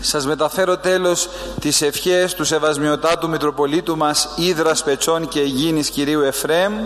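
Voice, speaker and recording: A man with a Greek accent speaks at a moderate pace in a fairly high pitch, with very even loudness and monotone, flat intonation. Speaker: Greek clergyman accompanying relics. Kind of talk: formal address.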